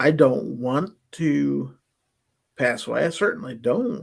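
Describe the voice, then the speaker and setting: At a fairly slow pace, a man with an unremarkable speaking voice talks at a medium pitch in a very clean recording with a silent background. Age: 60s. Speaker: livestream chat host. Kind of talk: casual chat.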